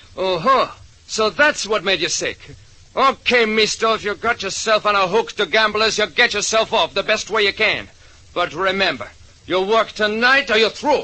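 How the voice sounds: A man's put-on character voice, high-pitched, with a bright, sharp tone, lively intonation and a moderate pace.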